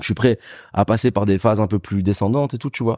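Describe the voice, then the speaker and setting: A man talks at medium pitch. The recording is very clean, with a silent background. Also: dry, close sound with no echo. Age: 30s. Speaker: journalist and DJ. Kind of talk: casual interview chat. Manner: casual, halting with repetitions.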